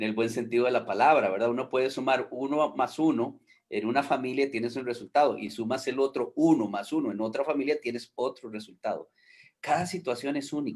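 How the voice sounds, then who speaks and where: A man talks at a medium pitch and a fairly quick pace. His pitch varies in an ordinary way. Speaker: foster care and adoption worker. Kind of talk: online panel discussion. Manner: hesitant, many fillers.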